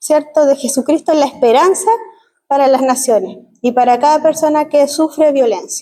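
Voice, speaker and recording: High pitch from a woman, dark, mellow tone, ordinary pitch variation and a moderate pace. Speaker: missionary. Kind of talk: missions presentation in church.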